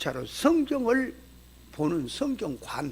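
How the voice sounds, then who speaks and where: A man talks with very wide pitch swings. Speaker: pastor. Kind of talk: sermon-style lecture to pastors. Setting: church seminar. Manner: colloquial, emphatic.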